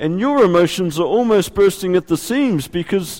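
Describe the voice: The intonation moves in a lively way. What we hear is plain reading aloud.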